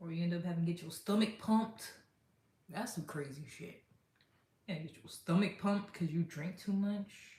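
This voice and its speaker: A woman speaks at a moderate pace in a fairly low, dark and mellow voice that is somewhat breathy, with ordinary pitch variation and big swings in loudness. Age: 30s. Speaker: livestreamer. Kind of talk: casual livestream chat. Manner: animated.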